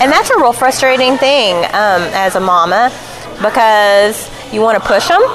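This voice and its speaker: Over music in the background, a woman with an American accent speaks in a fairly high pitch with lively intonation and very even loudness. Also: moderate pace. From Arkansas (Elkins, near Fayetteville). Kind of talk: casual interview. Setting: restaurant.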